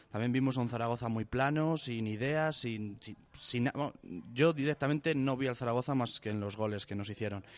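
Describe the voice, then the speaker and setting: This man talks at a fairly quick pace. His medium pitch shows ordinary variation. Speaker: football pundit. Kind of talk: casual chat. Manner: halting, repeats words.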